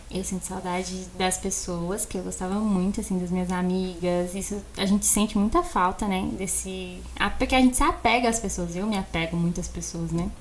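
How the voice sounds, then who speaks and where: A woman at a moderate pace with hardly any pauses, against noticeable background noise. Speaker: architect and podcast co-host. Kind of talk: casual chat. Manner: animated.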